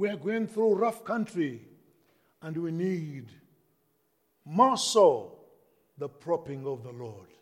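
A man talks at a very slow pace with a high pitch, very wide pitch swings, big swings in loudness, and long, frequent pauses. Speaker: pastor. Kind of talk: sermon. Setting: church.

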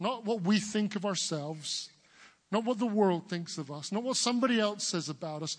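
Over a quiet background, a man with an English accent talks at a high pitch with ordinary pitch variation. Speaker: preacher. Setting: church service. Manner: emphatic, rhythmic sermon delivery.

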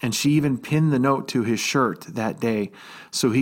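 An ordinary speaking voice belongs to a man at medium pitch who speaks at a moderate pace with fairly even intonation, in a very clean recording with a silent background. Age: 50s. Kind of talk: devotional talk.

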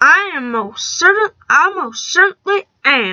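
A woman puts on a character voice at an extremely high pitch, swinging it very widely. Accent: Western US. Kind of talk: mock cowboy drawl.

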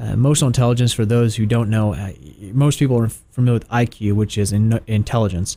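A man's dark, mellow tone at medium pitch, fairly quick in pace with fairly even intonation. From Tennessee. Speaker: health consultant. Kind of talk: radio interview. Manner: halting, many filler words.

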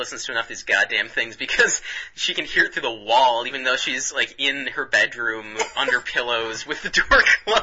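Simple, plain reading aloud.

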